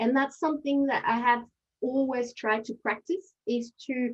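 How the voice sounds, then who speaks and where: In a French accent, a woman talks at a moderate pace. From France. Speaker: aid and development leader, panelist. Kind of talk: panel discussion. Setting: webinar video call. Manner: hesitant, many fillers.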